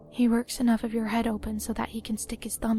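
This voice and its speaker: Music plays behind a woman as she talks. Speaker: narrator reading a story. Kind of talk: creepypasta horror story narration.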